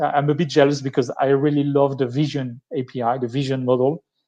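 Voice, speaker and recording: A man with a strong French accent speaks at a fairly high pitch and a fairly quick pace against a quiet background. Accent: thick French. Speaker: tech speaker. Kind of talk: live-streamed tech talk. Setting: live stream. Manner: halting, many fillers and restarts.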